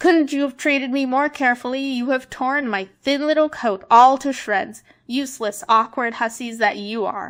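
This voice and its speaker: Using a put-on character voice, a woman speaks in a shrill, high pitch at a moderate pace with hardly any pauses. The recording is very clean, and the background is silent. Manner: furious, scolding.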